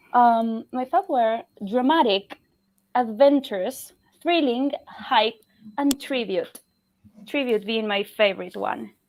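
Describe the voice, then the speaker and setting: A woman speaks at a very slow pace in a fairly high voice with ordinary pitch variation. Long, frequent pauses break up her speech. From Argentina. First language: Spanish. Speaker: fantasy content creator. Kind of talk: casual panel chat on a charity livestream.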